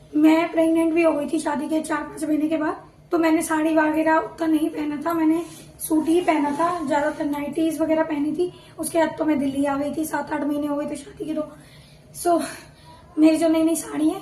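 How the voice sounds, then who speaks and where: Speaking at a moderate pace, a woman delivers her words in a high pitch with monotone, flat intonation. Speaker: vlogger. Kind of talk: casual vlog talk. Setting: at home.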